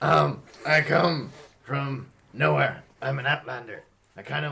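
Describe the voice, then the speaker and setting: Putting on a raspy character voice, a man of medium pitch speaks at a fairly slow pace. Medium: actual play. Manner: casual, hesitant.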